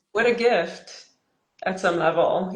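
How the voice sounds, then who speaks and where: A woman's medium-pitched voice in a Quebec accent, fairly slow and fairly even in intonation. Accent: Québécois French accent in English. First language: French. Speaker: dating and relationship coach. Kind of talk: casual chat. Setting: Instagram live.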